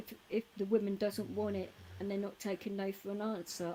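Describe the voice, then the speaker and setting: This woman is soft-spoken, her pitch medium. She keeps a moderate pace. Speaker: live streamer, DJ. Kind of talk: casual chat.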